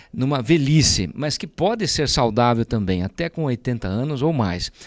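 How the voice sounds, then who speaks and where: A man at a moderate pace with very wide pitch swings, in a very clean recording with a silent background and a dry, close sound with no echo. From Brazil, Sorocaba (São Paulo state). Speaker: politician, mayor-elect. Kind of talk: interview.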